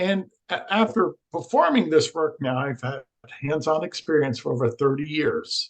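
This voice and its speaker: With an ordinary speaking voice, a man talks at a fairly high pitch using lively intonation. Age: 60s. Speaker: energy healing researcher. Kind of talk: podcast interview.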